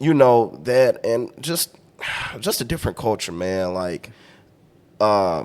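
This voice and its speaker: A man of medium pitch with a Louisiana accent talks at a very slow pace, with long, frequent pauses and very wide pitch swings. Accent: Louisiana Southern US. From US South, Louisiana. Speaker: podcast guest. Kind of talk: casual chat.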